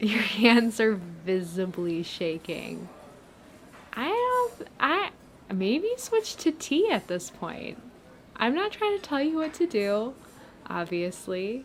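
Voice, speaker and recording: A woman speaks at a very slow pace in a warm tone. Noticeable background noise is present. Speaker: friend character in a platonic ASMR roleplay. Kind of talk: friendly roleplay pep talk to a listener. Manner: casual, rambling, warm, encouraging.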